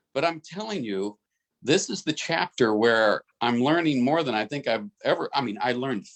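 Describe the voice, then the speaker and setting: An unremarkable speaking voice with lively intonation moves at a moderate pace, the sound dry and close with no echo over a quiet background. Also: man. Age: 60s. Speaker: business team member, former international banker. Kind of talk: group video call discussion. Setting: group call.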